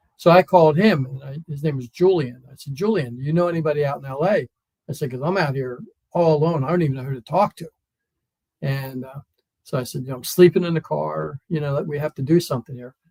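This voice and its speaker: A man's fairly high, somewhat breathy voice with a dark, mellow tone and an American accent, very fast, with big swings in loudness, ordinary pitch variation and a dry, close sound with no echo. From US East Coast, Wilmington, Delaware. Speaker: comedian and former stuntman. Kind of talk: casual interview chat.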